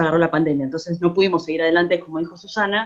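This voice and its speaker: A woman speaks in a fairly low voice. Her pitch moves up and down in an ordinary way. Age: 40s. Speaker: musician and theatre collaborator. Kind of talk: casual remarks in an online talk. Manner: halting.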